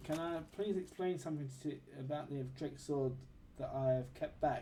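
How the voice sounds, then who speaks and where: A man's fairly high, somewhat breathy voice has a dark, mellow tone and fairly even intonation. He speaks at a fairly slow pace with audible room echo. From London, England. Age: 30s. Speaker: gaming streamer. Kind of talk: live gameplay stream chat. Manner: casual, chatty.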